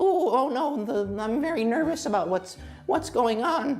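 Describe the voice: A put-on character voice sounds fairly high and shaky at a moderate pace. Clear background noise is present.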